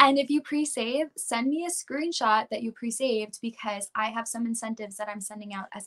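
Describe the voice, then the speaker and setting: Speaking at a fairly quick pace with hardly any pauses, a woman with a New York accent uses a fairly high pitch, a bright, sharp tone, ordinary pitch variation and big swings in loudness, all in a dry, close sound with no echo. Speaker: pop country singer. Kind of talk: interview.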